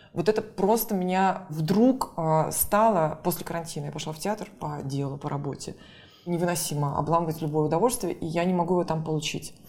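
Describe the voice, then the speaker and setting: Talking at a fairly quick pace, a woman has an unremarkable speaking voice with fairly low pitch and ordinary pitch variation. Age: 40s. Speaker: theatre critic and curator. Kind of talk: casual interview.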